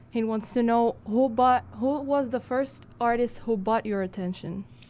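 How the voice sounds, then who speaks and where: A woman's dark, mellow tone at a very slow pace, with fairly even intonation. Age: young. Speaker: interpreter. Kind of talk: live interpreting. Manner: halting. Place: studio. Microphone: studio mic.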